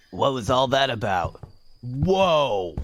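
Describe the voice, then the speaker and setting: A man puts on a character voice at a medium pitch. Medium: audio drama. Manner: casual.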